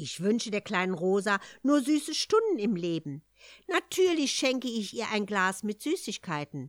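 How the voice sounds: The delivery is a natural reading voice.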